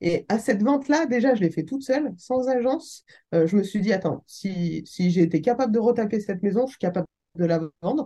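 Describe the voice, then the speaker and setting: Somewhat breathy and dark, mellow in tone, a woman speaks at a fairly quick pace with lively intonation. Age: 30s. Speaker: real estate investor and business angel. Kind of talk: casual interview. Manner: animated.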